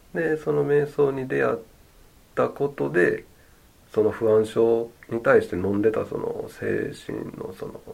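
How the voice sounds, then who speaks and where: Over noticeable background noise, the speaker talks at a fairly slow pace in a relaxed tone. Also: man. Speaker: meditation instructor. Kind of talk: casual chat. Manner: relaxed, slow.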